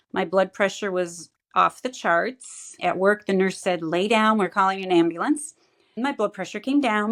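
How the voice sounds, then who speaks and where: In a normal speaking voice, a woman talks at a fairly slow pace with medium pitch and ordinary pitch variation. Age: 60s. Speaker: client giving a health testimonial. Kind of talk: testimony.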